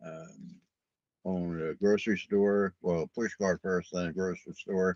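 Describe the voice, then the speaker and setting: A man talks in a very deep, low pitch with a New York accent. The sound is dry and close, with no echo. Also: fairly even intonation, moderate pace. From New York City, Brooklyn. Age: 70s. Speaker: podcast host. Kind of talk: casual monologue. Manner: casual, rambling with fillers.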